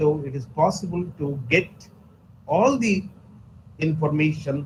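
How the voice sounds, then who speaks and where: Somewhat breathy and fairly high-pitched, a man talks at a fairly slow pace with ordinary pitch variation amid audible room echo. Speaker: pharmacology resource person. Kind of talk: lecture. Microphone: too quiet.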